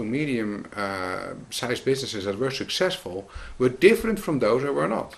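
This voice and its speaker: A man with a Dutch accent, medium in pitch, with very wide pitch swings. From Netherlands. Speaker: business consultant. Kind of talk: scripted narration.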